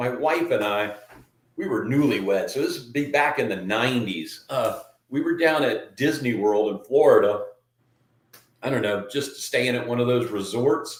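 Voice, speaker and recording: A man speaks at a moderate pace, with audible echo from the room. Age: 60s. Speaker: podcast host. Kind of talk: casual chat.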